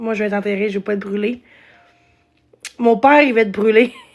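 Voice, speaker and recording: A woman with a slight Gaspésie accent talks at a fairly quick pace. Her fairly high pitch stays in a monotone, flat intonation. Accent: slight Gaspésie accent (Quebec French). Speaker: live streamer. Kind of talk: casual live stream chat. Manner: halting, many fillers.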